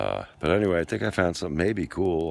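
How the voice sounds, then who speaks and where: With vocal fry and a very deep, low pitch, a man talks at a moderate pace using lively intonation. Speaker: metal detecting hobbyist. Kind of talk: casual vlog narration. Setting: outdoors. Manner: excited, animated.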